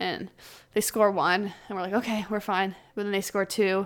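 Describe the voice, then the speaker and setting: On a very clean recording with a silent background, a woman speaks with a Canadian accent at a medium pitch. Her delivery is fairly quick, with monotone, flat intonation. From Ottawa, Canada. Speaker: pro ice hockey player. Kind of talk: casual interview.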